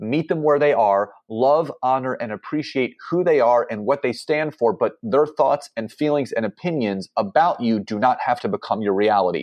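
A man's unremarkable speaking voice at medium pitch, lively in intonation, at a moderate pace with hardly any pauses. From Philadelphia, Pennsylvania. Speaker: entrepreneur and business coach. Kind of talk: podcast interview.

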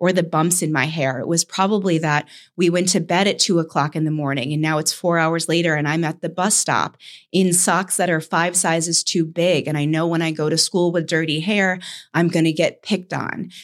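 With an American accent and an ordinary speaking voice, a woman speaks at a fairly quick pace, fairly low in pitch with fairly even intonation, on a very clean recording with a silent background. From US Northeast (Saratoga). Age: 30s. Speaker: podcast host. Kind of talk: casual chat.

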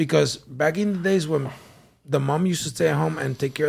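A man speaks in a somewhat breathy voice. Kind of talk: casual banter among friends. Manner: profane, argumentative.

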